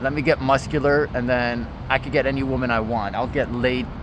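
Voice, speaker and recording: Moderate-paced talk from a man in a medium pitch amid noticeable background noise. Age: 30s. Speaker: fitness vlogger. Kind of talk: casual vlog monologue. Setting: outdoors at a park. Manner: casual, filler-heavy.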